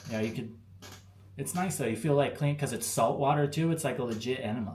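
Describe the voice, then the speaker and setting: Somewhat breathy speech with an American accent moves at a fairly quick pace, with ordinary pitch variation. Audible room echo surrounds it. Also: man. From Arizona, US. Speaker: expat vlogger. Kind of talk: live stream chat with viewers. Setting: live stream. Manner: casual, slangy.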